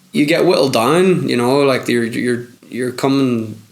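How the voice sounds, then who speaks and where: With a Belfast accent, a man talks at a moderate pace and medium pitch amid noticeable background noise and audible room echo. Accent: Belfast Northern Irish. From Northern Ireland, Belfast. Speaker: footballer. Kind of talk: interview.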